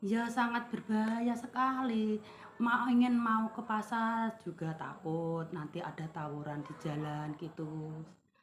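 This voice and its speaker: A woman at a very slow pace with hardly any pauses, fairly high pitch, lively intonation and big swings in loudness, against noticeable background noise. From Indonesia, East Java (Tulungagung). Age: 50s. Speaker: small market trader. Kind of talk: interview.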